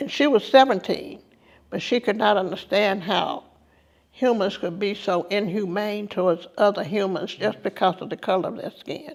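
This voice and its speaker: The recording is very clean, with a silent background. Speech moves at a moderate pace. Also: woman. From US South. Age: 70s. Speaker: civil rights veteran and tour guide. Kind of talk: testimony.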